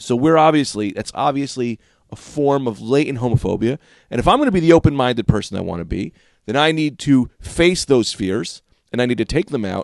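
A man with a medium-pitched, ordinary speaking voice talks fairly quickly with lively intonation, in a dry, close sound with no echo. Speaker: podcast co-host. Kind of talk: casual comedy chat podcast. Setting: home studio in a bedroom.

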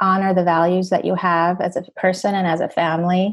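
Against a quiet background, a woman talks at a moderate pace. Her medium-pitched voice has monotone, flat intonation. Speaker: psychotherapist. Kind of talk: interview.

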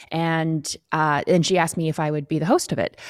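In a very clean recording with a silent background, a woman with a fairly low pitch speaks at a moderate pace, the sound dry and close with no echo. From Canadian High Arctic, Inuk. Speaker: TV host and documentary filmmaker. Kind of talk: interview. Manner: hesitant, many fillers.

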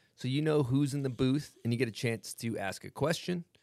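Talking at a fairly quick pace, a man with an American accent has an ordinary speaking voice at medium pitch with ordinary pitch variation. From US South. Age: 30s. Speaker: podcast host. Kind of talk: casual chat.

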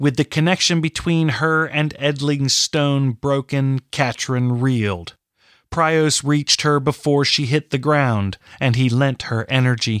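An animated man at a fairly slow pace, with ordinary pitch variation and very even loudness, in a very clean recording with a silent background. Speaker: audiobook author-narrator. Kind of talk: dramatic fantasy narration, audiobook reading aloud. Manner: animated, expressive, voicing characters' dialogue; steady, storytelling pace.

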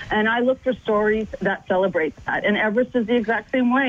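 Over noticeable background noise, a speaker with a Canadian accent talks at a moderate pace with ordinary pitch variation. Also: woman. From Canada. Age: 50s. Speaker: filmmaker and long-distance adventurer. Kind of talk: radio interview.

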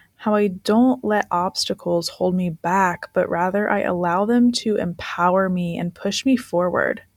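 A woman with a plain, everyday voice speaks fairly slowly and with fairly even intonation, in a very clean recording with a silent background. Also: dry, close sound with no echo. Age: 20s. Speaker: life coach. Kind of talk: podcast monologue.

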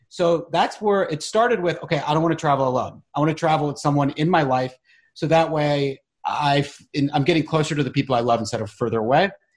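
A somewhat breathy man with an American accent talks at a very fast pace and fairly high pitch. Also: ordinary pitch variation. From US South, Charlotte, North Carolina. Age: 40s. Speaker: actor and documentary maker. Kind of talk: interview conversation.

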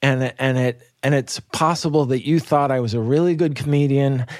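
A man with an unremarkable speaking voice talks fairly slowly at medium pitch, keeping a fairly even intonation. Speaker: comedian. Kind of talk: casual conversation.

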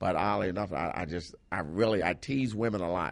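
Fairly quick delivery with vocal fry. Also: man. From Philadelphia. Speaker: stand-up comedian. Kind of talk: casual interview chat.

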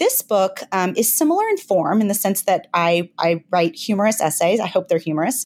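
In a Southern US accent, a woman talks at a medium pitch. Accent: light Southern US. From US South. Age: 40s. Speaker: author. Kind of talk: interview. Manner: fast talker.

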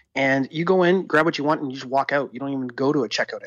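Here a man with a plain, everyday voice speaks at a fairly high pitch with ordinary pitch variation. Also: quiet background. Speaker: tech commentator. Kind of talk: casual chat.

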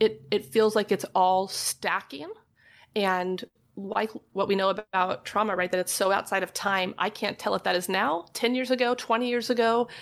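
At a moderate pace, a woman uses a normal speaking voice with medium pitch and ordinary pitch variation. The recording is very clean with a silent background. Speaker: licensed marriage and family therapist. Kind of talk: casual interview chat. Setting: trailer studio.

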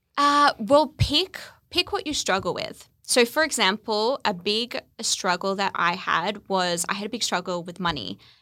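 In a very clean recording with a silent background, a woman speaks at a fairly slow pace with a bright, sharp tone and very wide pitch swings. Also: medium pitch for a woman. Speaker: podcaster and former lawyer. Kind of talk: casual chat. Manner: stutters on words.

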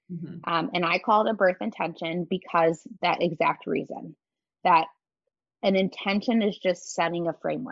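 A woman talks at a moderate pace in a fairly low pitch, with ordinary pitch variation. It is a normal speaking voice. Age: 30s. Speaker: breathwork facilitator and movement instructor. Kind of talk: casual interview chat.

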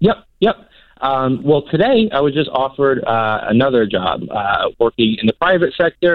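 Very wide swings in pitch from a man with a fairly high voice, moving at a moderate pace. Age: 30s. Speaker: caller. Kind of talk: casual chat. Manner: halting.

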